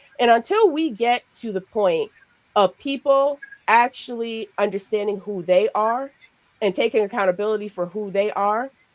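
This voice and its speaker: A woman with a New York accent speaks at a moderate pace and fairly high pitch, the sound dry and close with no echo. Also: ordinary pitch variation. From Brooklyn, New York. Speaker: podcast co-host and life coach. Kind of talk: casual discussion.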